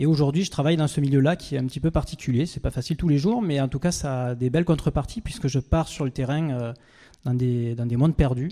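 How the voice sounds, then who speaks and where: Speaking with a Provençal accent, a man has a fairly high voice with a dark, mellow tone. He talks at a very fast pace in a very clean recording with a silent background. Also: ordinary pitch variation. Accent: singsong southern French (Provence). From southern France, Avignon. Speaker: expedition adventurer, speaker. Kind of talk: stage talk.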